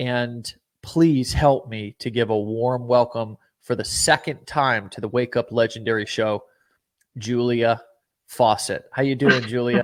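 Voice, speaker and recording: The man has an American accent and a medium pitch. He talks at a fairly slow pace with fairly even intonation. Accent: American-sounding to guest. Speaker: show host and company CEO. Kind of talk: live show interview.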